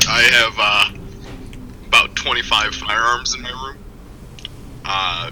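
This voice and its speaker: A very slow-speaking man with an American accent, big swings in loudness, noticeable background noise. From rural Kansas. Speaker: guest. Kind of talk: casual chat. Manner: halting, many fillers.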